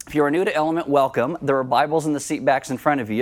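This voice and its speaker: Speaking at a very fast pace, a man delivers the words. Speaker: pastor. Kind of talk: sermon. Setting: church. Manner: fast talker.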